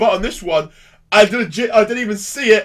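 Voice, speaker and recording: The background stays quiet while a man talks. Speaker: reaction video host. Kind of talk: casual commentary. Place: home room. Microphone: headset.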